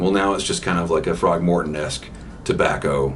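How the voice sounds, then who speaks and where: Fairly quick speech from a man with an American accent, amid audible room echo and noticeable background noise. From US South, Georgia. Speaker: pipe-smoking YouTuber. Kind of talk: casual vlog, reading and answering comments. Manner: hesitant, many repeated words.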